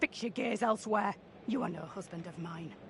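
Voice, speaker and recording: Putting on a raspy character voice, a woman talks at a fairly quick pace and medium pitch, with ordinary pitch variation, big swings in loudness and clear background noise. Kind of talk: archaic old-fashioned speech. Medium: video game. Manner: fearful, suspicious.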